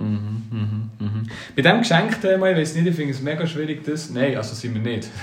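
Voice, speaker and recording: Over noticeable background noise and audible room echo, a man talks at a fairly quick pace. His fairly high pitch swings very widely. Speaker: podcast co-host. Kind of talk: casual chat.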